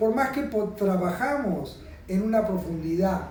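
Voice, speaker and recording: Over noticeable background noise and audible room echo, a man with a Rioplatense accent speaks at a fairly slow pace in a high pitch with ordinary pitch variation. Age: 60s. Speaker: aesthetic doctor. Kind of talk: explaining a treatment to a patient on camera.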